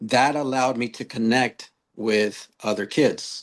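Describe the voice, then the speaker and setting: Very slow, lively-intoned speech in a Spanish accent. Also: man. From US West Coast, Long Beach, California. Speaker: author and youth mentor. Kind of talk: podcast interview.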